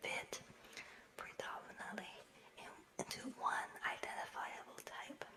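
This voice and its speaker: Noticeable background noise sits under a whisper that moves fairly slowly. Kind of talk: nonfiction book reading. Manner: whispered.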